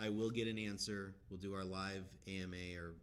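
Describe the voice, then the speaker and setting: A man talks at a fairly slow pace in a monotone, flat intonation. Audible room echo surrounds his voice. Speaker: crypto project leader. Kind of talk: live Q&A stream. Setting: live stream.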